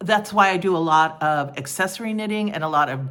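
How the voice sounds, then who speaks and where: Her pitch moves in an ordinary way. The woman speaks fairly slowly. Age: 60s. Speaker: knitting podcaster, retired teacher. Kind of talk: casual podcast monologue. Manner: hesitant, with many fillers and repetitions.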